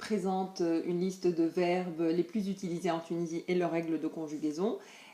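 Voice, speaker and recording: Fairly low-pitched female voice, delivered at a moderate pace. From Tunisia. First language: Tunisian Arabic (speaking French). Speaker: language teacher. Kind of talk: promotional presentation. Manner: hesitant, many fillers.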